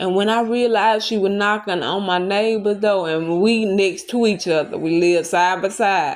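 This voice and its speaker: At a fairly slow pace, the speech shows ordinary pitch variation. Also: woman. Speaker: YouTuber. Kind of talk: storytelling. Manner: loud.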